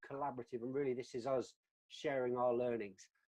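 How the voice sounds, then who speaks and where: A man with a British accent, dark, mellow tone and very fast pace. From UK. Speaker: customer success executive, webinar co-host. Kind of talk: webinar discussion. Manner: halting, many repeated words.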